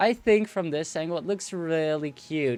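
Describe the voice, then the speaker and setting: A man with a non-native accent speaks at a moderate pace over music in the background. His intonation is lively. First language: not English. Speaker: gaming streamer. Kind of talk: casual live-stream commentary. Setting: live stream. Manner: hesitant, many fillers and restarts.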